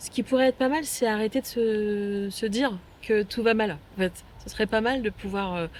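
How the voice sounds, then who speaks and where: A woman speaks at a moderate pace with a fairly high pitch. Noticeable background noise is present. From Paris suburbs, France. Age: 50s. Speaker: local resident. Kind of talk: interview. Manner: hesitant, many fillers.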